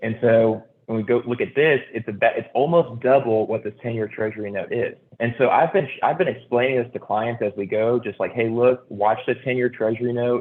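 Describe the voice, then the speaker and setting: Moving at a fairly quick pace, a man speaks in a medium pitch with fairly even intonation. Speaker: mortgage loan officer. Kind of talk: informal presentation to a group. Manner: fast.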